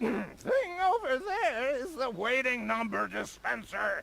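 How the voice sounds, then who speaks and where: This is a put-on character voice. It moves along fairly slowly. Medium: virtual streamer. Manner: curt, throat-clearing.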